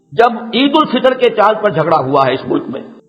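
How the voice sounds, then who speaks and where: A man speaks against noticeable background noise. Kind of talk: religious lecture. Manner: fervent, argumentative, lecturing.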